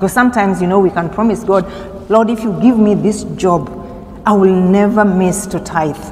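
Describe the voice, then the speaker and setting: With audible room echo and noticeable background noise, a woman speaks at medium pitch and a moderate pace with fairly even intonation. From Kenya. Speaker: seminary intern preacher. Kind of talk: sermon. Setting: church.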